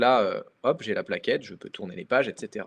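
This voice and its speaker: A man speaks at a fairly quick pace. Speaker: webinar presenter. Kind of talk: product demo webinar. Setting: online webinar from computer. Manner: hesitant, many fillers.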